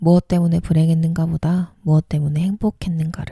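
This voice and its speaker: A woman speaks fairly quickly at a fairly low pitch in a calm, gentle tone that is dark, mellow and somewhat breathy. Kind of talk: essay reading aloud, bedtime narration. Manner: calm, soft, gentle.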